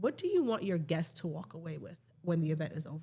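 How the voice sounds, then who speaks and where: Very fast and somewhat breathy, a woman with an American accent uses a fairly low pitch, a dark, mellow tone and ordinary pitch variation. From New York. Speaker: event planner. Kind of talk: casual chat.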